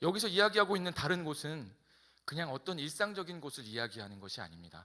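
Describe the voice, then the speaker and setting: Bright and sharp in tone, a man with a fairly high pitch talks at a very fast pace with vocal fry. His pitch swings very widely and his loudness swings a lot. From South Korea, Incheon. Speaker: pastor. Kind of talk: sermon.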